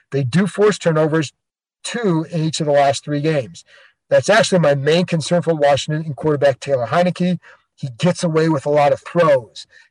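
With a plain, everyday voice, a man speaks fairly quickly at a fairly high pitch with ordinary pitch variation, in a dry, close sound with no echo. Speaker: sports podcast host and reporter. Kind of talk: podcast hosting, interview.

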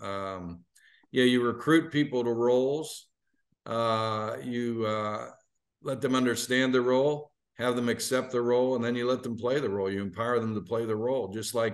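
A man with an American accent speaks at a moderate pace in a normal speaking voice, his medium pitch held in fairly even intonation. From Pittsburgh, western Pennsylvania. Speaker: bowl game executive. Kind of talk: interview.

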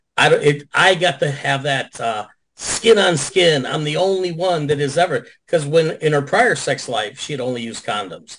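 Over a quiet background, a man with an American accent and a normal speaking voice talks at a moderate pace with hardly any pauses, using a fairly high pitch and lively intonation. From Chicago area. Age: 60s. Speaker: adult film performer. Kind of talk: casual chat. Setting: video call.

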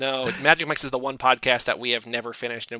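A man talks at a medium pitch in a bright, sharp tone. The recording is dry and close with no echo. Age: 30s. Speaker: podcast co-host, guest. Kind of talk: casual chat.

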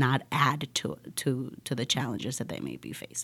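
On a very clean recording with a silent background, a woman with a Spanish accent speaks at a fairly slow pace. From Colombia. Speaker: nonprofit program director. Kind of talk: interview.

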